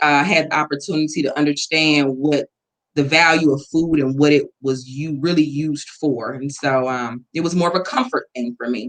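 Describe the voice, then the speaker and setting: The speaker, with an Atlanta accent, talks at a moderate pace. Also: woman. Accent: Southern US (Atlanta). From US South, Atlanta. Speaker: weight loss interviewee. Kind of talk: interview.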